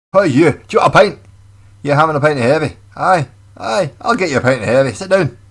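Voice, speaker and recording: Putting on a gruff character voice in a Scottish accent, a man talks at a very fast pace with a fairly high pitch and lively intonation. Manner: aggressive, gruff.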